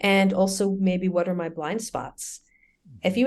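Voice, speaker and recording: A woman speaks in a calm tone with a New York accent and a medium pitch. The background is quiet. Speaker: business school lecturer and media producer. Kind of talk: interview. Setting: podcast. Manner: fast.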